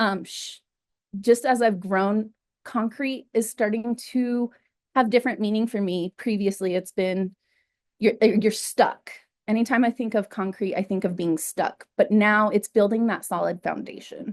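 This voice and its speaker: Against a quiet background, a woman with a fairly high pitch speaks at a fairly slow pace with fairly even intonation, dry and close with no echo, in an unremarkable speaking voice. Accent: American. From New Mexico, US. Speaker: artist. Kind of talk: artist talk.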